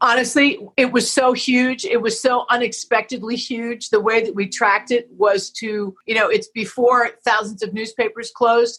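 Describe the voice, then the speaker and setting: A woman with an American accent and a plain, everyday voice speaks at a fairly high pitch with fairly even intonation. She keeps a moderate pace with hardly any pauses. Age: 60s. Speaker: activist and entrepreneur. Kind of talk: interview.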